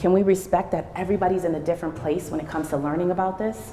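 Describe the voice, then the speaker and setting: Talking very fast, a woman with an American accent has a fairly low pitch. Room echo is audible. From Rochester, New York. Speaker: teacher and educational leader. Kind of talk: presentation to an audience. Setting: church hall with audience.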